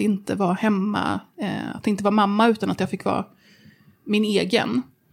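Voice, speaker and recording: Medium pitch and moderate speed in a woman's voice, an unremarkable speaking voice. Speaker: journalist and body activist. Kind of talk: interview.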